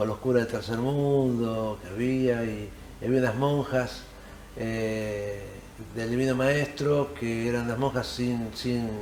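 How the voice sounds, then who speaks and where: Against noticeable background noise and audible room echo, a man speaks at a fairly slow pace with medium pitch and fairly even intonation. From Argentina, Hurlingham (Buenos Aires area). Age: 60s. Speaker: actor and theatre teacher. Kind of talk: interview.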